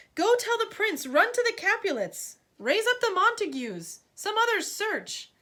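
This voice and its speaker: In a put-on character voice, a woman talks squeaky and at extremely high pitch, with lively intonation, a moderate pace, hardly any pauses, and a very clean recording over a silent background. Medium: read story. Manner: commanding.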